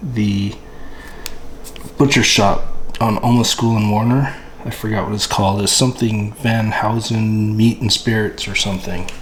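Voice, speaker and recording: Moderate-speed speech from a man with a fairly low voice and fairly even intonation, set against noticeable background noise. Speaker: channel host, home barbecue cook. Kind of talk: tutorial. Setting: at home, early morning by the smoker. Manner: whispering.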